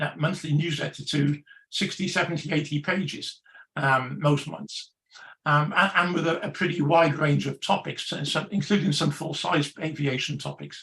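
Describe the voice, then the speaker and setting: A man with an English accent has a bright, sharp tone with vocal fry, a fairly high pitch, and fairly even intonation. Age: 70s. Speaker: magazine editor. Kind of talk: panel discussion. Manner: halting, many fillers and repetitions.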